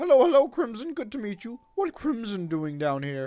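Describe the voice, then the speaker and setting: A put-on character voice swings very widely in pitch at a moderate pace. Faint music plays in the background. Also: man, extremely high pitch for a man. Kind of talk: broken speech, talks of himself in third person. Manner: shouting, eager, chatty.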